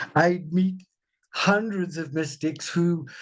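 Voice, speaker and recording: Against a quiet background, a man with a high pitch speaks at a fairly slow pace. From India and England. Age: 70s. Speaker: spiritual author. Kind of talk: interview. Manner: animated.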